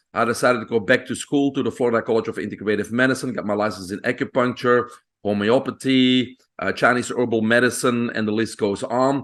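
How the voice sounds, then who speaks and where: Against a quiet background, a man with a Belgian accent talks at a very fast pace, medium in pitch with fairly even intonation. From Belgium. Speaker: physician. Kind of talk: podcast interview. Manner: hesitant with fillers.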